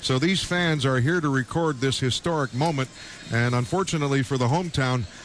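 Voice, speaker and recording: There's noticeable background noise as a man talks fairly quickly with ordinary pitch variation. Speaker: radio play-by-play announcer. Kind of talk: live football broadcast play-by-play.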